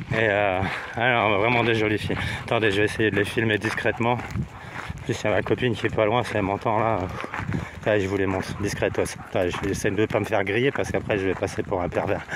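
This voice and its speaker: Noticeable background noise surrounds a man talking at a fairly quick pace. His intonation is monotone and flat, and his loudness stays very even. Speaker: hiking vlogger. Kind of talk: casual vlog narration. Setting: outdoors on a hiking trail. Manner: hesitant, many fillers; speaking quietly.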